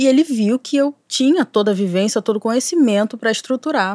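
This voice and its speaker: In a very clean recording with a silent background and a dry, close sound with no echo, a woman talks at a moderate pace with lively intonation in an ordinary speaking voice. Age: 30s. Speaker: cyberactivist and screenwriting student. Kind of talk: casual chat.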